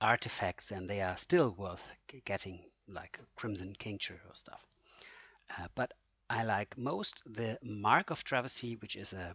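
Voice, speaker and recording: The man's voice is fairly low, with ordinary pitch variation. He talks at a fairly slow pace, his loudness swinging a lot. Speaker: gaming tutorial creator. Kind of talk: game tutorial with live gameplay. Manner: halting, many fillers and self-corrections.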